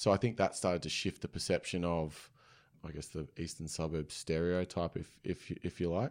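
A man with an Australian accent speaks in a very deep, low voice on a very clean recording with a silent background. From Sydney, inner west. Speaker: run club founder. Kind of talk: casual interview.

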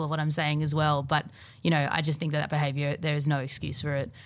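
In a very clean recording with a silent background, a woman with an Australian accent talks very fast at a very deep, low pitch. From Australia, Melbourne. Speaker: singer-songwriter. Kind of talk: casual chat. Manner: halting.

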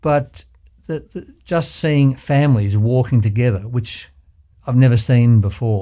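A man speaks at a fairly slow pace with medium pitch. His tone is dark and mellow, with ordinary pitch variation. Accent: Australian. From Australia, Ballarat, Victoria. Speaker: surgeon and former community board chair. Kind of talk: interview. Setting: studio.

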